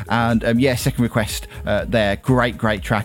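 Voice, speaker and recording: With a British accent, a man speaks at a moderate pace in an enthusiastic, warm tone. Noticeable background noise is present. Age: 30s. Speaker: internet radio DJ. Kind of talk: online radio DJ patter, back-announcing game-music listener requests between tracks. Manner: upbeat, chatty and rambling with frequent ums and uhs; enthusiastic, warm presenter energy.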